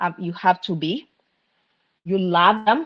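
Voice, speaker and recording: A woman is speaking here. Her pitch is fairly low, with ordinary variation. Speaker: nursing professor, guest speaker. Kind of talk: live online talk on parenting.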